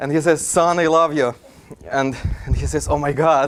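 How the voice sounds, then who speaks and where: Noticeable background noise sits behind a man speaking at a moderate pace in a monotone, flat way. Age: 30s. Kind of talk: lecture. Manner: halting.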